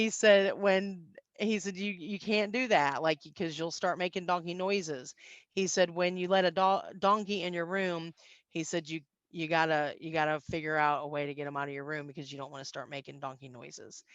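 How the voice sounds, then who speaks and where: A woman speaks with a slight Southern US accent at a fairly low pitch and a moderate pace, over a quiet background. Her loudness swings widely while her pitch varies in an ordinary way. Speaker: business networking trainer. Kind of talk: conference talk.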